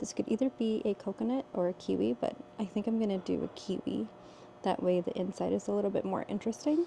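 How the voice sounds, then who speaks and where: A woman whispers at a very fast pace. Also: very even loudness. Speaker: potter and vlogger. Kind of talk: casual vlog talk to camera. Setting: pottery studio at night. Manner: whispering.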